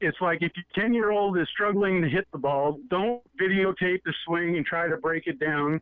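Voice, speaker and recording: A man speaks at a high pitch. His pitch varies in an ordinary way. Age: 60s. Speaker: sports radio host. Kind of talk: casual sports talk.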